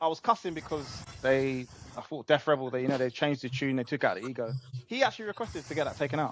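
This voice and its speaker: Talking very fast, a man with an English accent speaks at a fairly high pitch. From England. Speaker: wrestling podcast co-host. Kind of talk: casual chat.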